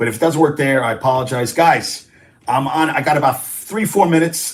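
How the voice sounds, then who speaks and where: A man's somewhat breathy voice moves along fairly quickly. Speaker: sports talk show host. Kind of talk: live stream sports talk. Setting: live stream. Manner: animated.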